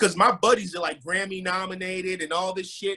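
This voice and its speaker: Raised and projected, a man's high-pitched voice comes across bright, sharp, animated and energetic at a fairly quick pace. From Nigeria. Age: 30s. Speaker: rapper and music publisher. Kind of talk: casual interview. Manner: animated, energetic.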